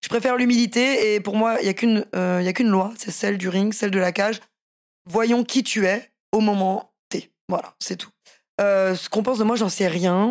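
A woman speaks at a moderate pace and medium pitch with fairly even intonation. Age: 30s. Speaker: professional MMA fighter and boxer. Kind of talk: casual interview.

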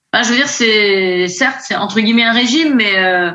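Audible room echo surrounds a woman whose voice is fairly high in pitch. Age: 50s. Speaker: nurse, coaching client. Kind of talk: testimony. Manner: hesitant.

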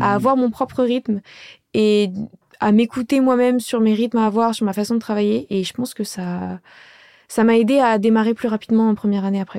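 At a fairly quick pace, a woman with a fairly high pitch and a dark, mellow tone speaks with ordinary pitch variation. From Paris suburbs (Pontoise). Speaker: medical student. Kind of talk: interview testimony.

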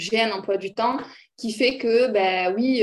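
A woman's voice at a medium pitch. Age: 30s. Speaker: entrepreneur and mother. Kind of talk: casual chat. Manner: talkative.

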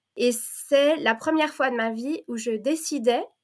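A woman speaks at a very slow pace. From Belgium (French-speaking), born in Provence. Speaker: teacher and women's circle facilitator. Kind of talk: casual interview chat. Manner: halting, many hesitations.

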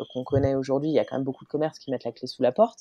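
A woman's dark, mellow tone. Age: 30s. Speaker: podcaster and former environmental lawyer. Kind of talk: interview conversation. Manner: hesitant with frequent fillers.

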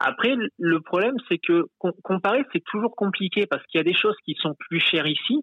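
With lively intonation, the man delivers his words at a moderate pace. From France. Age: 30s. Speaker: optician, immigrant. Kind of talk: interview. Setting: phone call.

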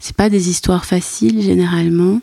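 Recorded dry and close with no echo, a woman speaks at a medium pitch and a fairly slow pace. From Brussels, Belgium. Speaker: anthropologist and art historian. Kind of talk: interview. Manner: halting.

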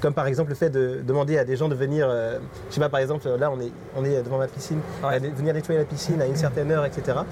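A man speaks very fast at a fairly high pitch, his intonation flat and monotone. Noticeable background noise sits behind him. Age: 30s. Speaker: digital marketing agency owner. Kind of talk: interview.

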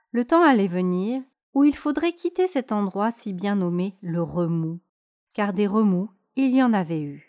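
A woman speaks at a medium pitch with a gentle, soothing, dark and mellow tone and lively intonation, at a very slow pace. The sound is dry and close with no echo, on a very clean recording with a silent background. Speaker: podcast host. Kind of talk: bedtime story telling, a fairy tale read aloud in a calm soothing tone. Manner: slow, gentle, soothing.

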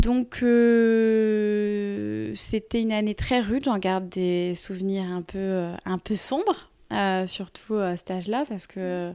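In a very clean recording with a silent background, a woman with a dark, mellow tone and medium pitch speaks at a very slow pace, with hardly any pauses and fairly even intonation. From Brittany, France. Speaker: pilates teacher, former professional dancer. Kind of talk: casual interview. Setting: recorded outdoors facing the sea in Carnac. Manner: hesitant, many fillers.

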